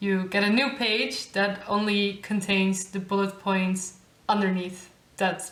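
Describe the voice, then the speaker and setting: In a Dutch accent, a woman speaks at medium pitch with monotone, flat intonation, with audible room echo and noticeable background noise. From Netherlands. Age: 20s. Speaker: YouTuber, master's student. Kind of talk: tutorial. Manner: casual.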